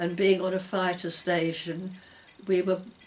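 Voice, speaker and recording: Over noticeable background noise, a woman speaks in a fairly low, monotone voice with flat intonation. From London. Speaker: war veteran. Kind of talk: interview. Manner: halting.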